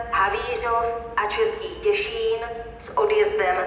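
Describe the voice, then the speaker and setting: Amid audible room echo and light background noise, a woman speaks at a very slow pace with very wide pitch swings. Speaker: announcer voice for station information system. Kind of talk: train station announcement.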